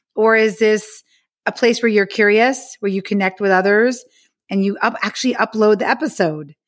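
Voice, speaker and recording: On a very clean recording with a silent background, a woman with an American accent and an unremarkable speaking voice talks at a moderate pace and a fairly high pitch. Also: ordinary pitch variation. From US, New York City. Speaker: author. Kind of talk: interview.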